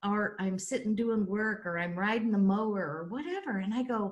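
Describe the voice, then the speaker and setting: Somewhat breathy, a woman speaks at a moderate pace and medium pitch. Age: 60s. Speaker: life coach and show host. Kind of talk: casual chat. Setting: video call.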